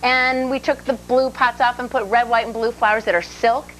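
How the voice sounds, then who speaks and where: A woman speaks at a moderate pace in a fairly high voice. Music plays in the background. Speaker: TV home decorating show co-host. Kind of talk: casual on-air demonstration. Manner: loud.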